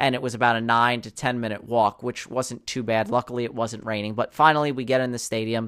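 A man's voice comes through dry and close with no echo, in a very clean recording with a silent background. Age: 20s. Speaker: sports podcast host. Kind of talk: solo sports commentary podcast.

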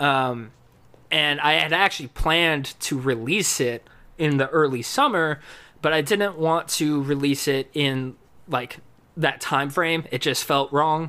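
At a fairly slow pace, a man speaks with very even loudness in a fairly high, bright, sharp voice with ordinary pitch variation. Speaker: indie pop musician. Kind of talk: casual chat. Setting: video call.

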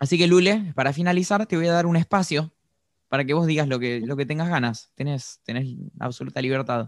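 Fairly quick delivery with a Rioplatense accent, ordinary pitch variation, and a dry, close sound with no echo. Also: man, fairly high pitch for a man. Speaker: podcast host. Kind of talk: casual chat. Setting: video call.

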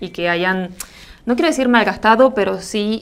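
Her speech moves at a moderate pace, a woman's voice. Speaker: makeup artist and content creator. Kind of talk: casual interview chat.

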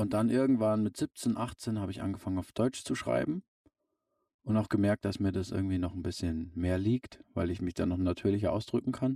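A man with a fairly low pitch and a dark, mellow tone talks at a fairly quick pace. His pitch varies in an ordinary way, and the sound is dry and close with no echo. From Bavaria, near Munich. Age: 20s. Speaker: musician. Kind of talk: casual interview.

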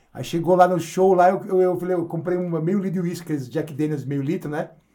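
This man's voice has a dark, mellow tone. His pitch is high. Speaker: podcast host and punk musician. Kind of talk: casual chat.

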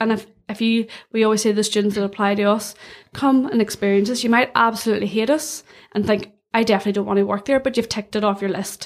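In a Donegal accent, the speech runs at a very fast pace with fairly even intonation. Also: woman. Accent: Donegal Irish. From Ireland, County Donegal. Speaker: graduate recruitment manager. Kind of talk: casual interview.

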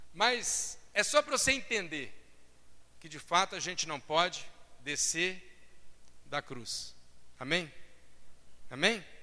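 A man speaks very slowly in a high, bright, sharp voice, leaving long, frequent pauses. His pitch swings very widely and his loudness rises and falls a lot. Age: 40s. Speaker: preacher. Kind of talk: sermon.

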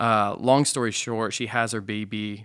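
The voice is bright and sharp, with a Midwestern American accent and monotone, flat intonation. The recording is very clean, the background silent. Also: man. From US Midwest, rural southwest Nebraska. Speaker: pastor. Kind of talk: casual chat.

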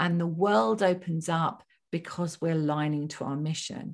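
An unremarkable speaking voice at a moderate pace, very cleanly recorded against a silent background. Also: woman. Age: 50s. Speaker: spiritual medium and psychotherapist. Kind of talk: interview.

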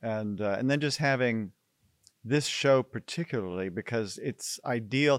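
A man with an American accent uses an ordinary speaking voice, speaking fairly slowly with ordinary pitch variation in a dry, close sound with no echo on a very clean recording with a silent background. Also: medium pitch for a man. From Houston, Texas. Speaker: actor and theater director. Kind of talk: casual interview.

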